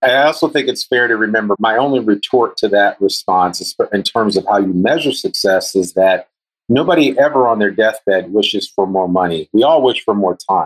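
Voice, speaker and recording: Here is an unremarkable speaking voice: a man with an American accent at medium pitch, with lively intonation. He keeps a moderate pace, very even loudness and hardly any pauses, in a dry, close sound with no echo. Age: 50s. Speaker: guest interviewer, podcast host. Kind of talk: interview.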